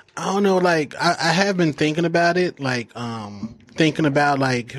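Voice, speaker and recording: A man speaks with an American accent in a normal speaking voice. His pitch varies in an ordinary way. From Phoenix, Arizona. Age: 40s. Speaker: broadcaster and former rapper. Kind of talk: casual chat. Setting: studio.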